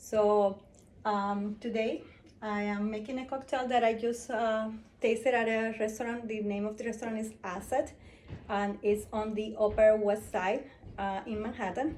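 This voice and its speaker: Someone speaks at a moderate pace in a flat, monotone voice, with audible room echo. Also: woman, fairly high pitch for a woman. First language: Spanish. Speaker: home bartender. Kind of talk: casual tutorial. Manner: hesitant, many fillers.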